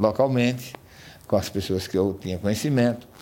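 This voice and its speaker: With a dark, mellow tone, a man talks with ordinary pitch variation. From Brazil, rural Paraíba (Northeast). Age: 60s. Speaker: business owner. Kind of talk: interview.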